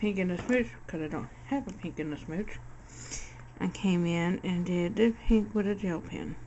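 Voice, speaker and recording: A woman with an unremarkable speaking voice talks at a fairly slow pace, medium in pitch with ordinary pitch variation. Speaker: crafter. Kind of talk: tutorial. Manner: casual.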